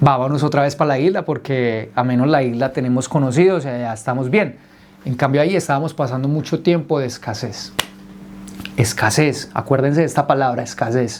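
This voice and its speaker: Against noticeable background noise, a man talks in an animated tone with ordinary pitch variation. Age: 30s. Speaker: entrepreneur telling his life story. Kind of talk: personal testimony told to a group.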